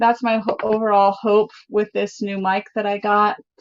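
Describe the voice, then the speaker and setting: The voice has a bubbly tone. It comes across loud. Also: woman. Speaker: DIY crafts YouTuber. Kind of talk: live stream chat and tutorial. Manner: naturally loud and bubbly.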